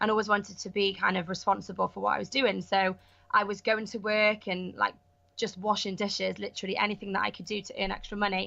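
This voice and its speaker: Speaking fairly quickly in a Welsh accent, a woman uses a bright, sharp tone, medium pitch and fairly even intonation. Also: quiet background. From Wales, Pembrokeshire. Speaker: actress and online entrepreneur. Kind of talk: podcast interview. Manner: casual, many fillers.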